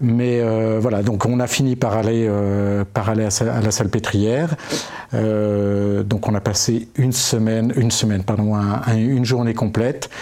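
Over noticeable background noise, a man with a medium pitch speaks at a fairly slow pace, with fairly even intonation and very even loudness. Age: 50s. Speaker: Alzheimer patient. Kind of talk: casual chat. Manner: halting.

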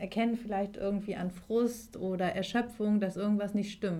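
A woman with an unremarkable speaking voice talks at a moderate pace and medium pitch, keeping her intonation fairly even. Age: 30s. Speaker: life coach. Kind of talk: interview.

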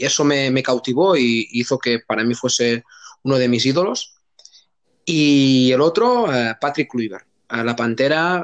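A man's unremarkable speaking voice at medium pitch, with very even loudness, ordinary pitch variation and a fairly slow pace, in a dry, close sound with no echo. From Catalonia, Spain (Tarragona province). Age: 30s. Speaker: youth football coach. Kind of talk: casual interview.

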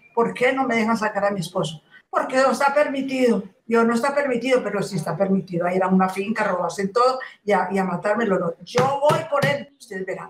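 A woman's fairly high voice at a very fast pace. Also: lively intonation. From Colombia, Antioquia. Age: 80s+. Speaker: widow of a conflict victim. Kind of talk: testimony. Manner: halting.

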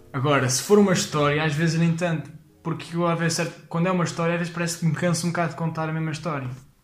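Amid audible room echo and noticeable background noise, a man talks at a very fast pace with a fairly high pitch. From Portugal, Leiria. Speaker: stand-up comedian. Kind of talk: casual chat. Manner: halting.

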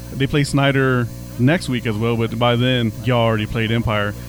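There is noticeable background noise in this clip. Under it, a man keeps a moderate pace, his pitch varying in an ordinary way. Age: 40s. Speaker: sports radio director and podcast host. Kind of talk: casual sports chat and interviews; scripted radio-style outro.

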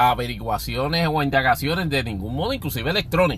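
Noticeable background noise under a man's fairly quick pace. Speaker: podcast host. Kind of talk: solo commentary podcast. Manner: halting, many filler words.

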